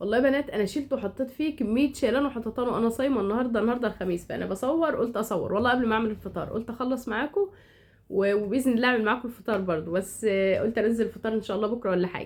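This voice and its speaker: A woman's fairly high voice at a very fast pace, with ordinary pitch variation. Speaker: home decor vlogger. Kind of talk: casual vlog narration. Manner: halting, many restarts.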